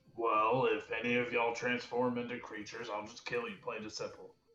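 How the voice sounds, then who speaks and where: A man puts on a character voice at a medium pitch, talking at a fairly quick pace with big swings in loudness. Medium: actual play.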